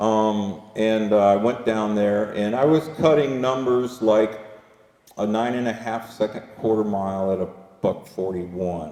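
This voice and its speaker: A man speaks with a fairly low pitch and ordinary pitch variation. His pace is fairly slow, with long, frequent pauses. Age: 60s. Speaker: drivetrain company founder and presenter. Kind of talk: workshop presentation with Q&A. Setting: dealership service bay with live audience. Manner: halting, many fillers and restarts.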